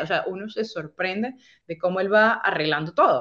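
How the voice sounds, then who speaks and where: A woman with a normal speaking voice talks at a fairly quick pace. Her pitch is medium, with ordinary variation. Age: 30s. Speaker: podcaster sharing faith testimony. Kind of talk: testimony.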